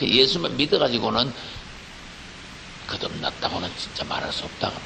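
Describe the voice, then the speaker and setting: Noticeable background noise sits behind a man with a Gyeongsang accent. He speaks at a fairly slow pace. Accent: Gyeongsang regional. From Gyeongsang, Korea. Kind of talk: preaching. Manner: firm, not soft or gentle.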